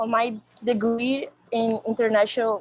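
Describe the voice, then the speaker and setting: A woman speaks at a fairly high pitch with a Brazilian Portuguese accent. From Brazil, Rio de Janeiro. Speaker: activist and researcher. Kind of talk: academic presentation.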